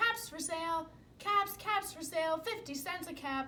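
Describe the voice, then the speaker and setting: In a put-on, squeaky character voice pitched extremely high, a woman talks at a moderate pace with ordinary pitch variation and big swings in loudness over clear background noise. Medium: read story. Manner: mild, resigned.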